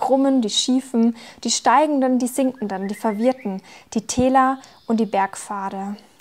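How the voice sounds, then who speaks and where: A woman talks at a moderate pace with fairly even intonation and a fairly high pitch. She has an unremarkable speaking voice. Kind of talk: poetry slam performance.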